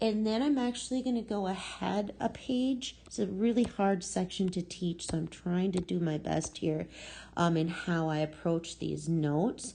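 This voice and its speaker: Her dark, mellow tone sits at a medium pitch, and this woman's intonation is lively. The background is quiet. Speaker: math teacher. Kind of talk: lecture. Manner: slow.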